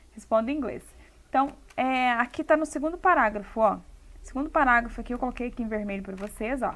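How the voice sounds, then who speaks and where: A woman with a high pitch talks at a very fast pace. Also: ordinary pitch variation. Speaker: English teacher. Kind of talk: tutorial.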